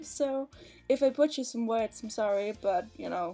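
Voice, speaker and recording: Over music in the background, a woman with a Danish accent talks at a moderate pace and a fairly high pitch with ordinary pitch variation. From Denmark. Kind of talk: casual voiceover for a game speedbuild. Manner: hesitant, many fillers.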